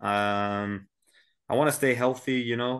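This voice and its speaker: A man speaks at a medium pitch with a British accent. The background is quiet. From Britain (London). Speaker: mixed martial arts fighter. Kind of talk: interview.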